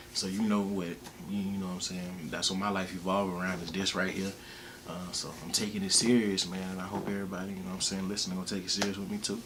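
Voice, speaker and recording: A man with a very deep, low pitch talks at a very fast pace in a monotone, flat intonation. There is noticeable background noise and audible room echo. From US South, Alabama (Wetumpka, near Montgomery). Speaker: rapper and music producer. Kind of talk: casual interview. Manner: laid-back, filler-heavy.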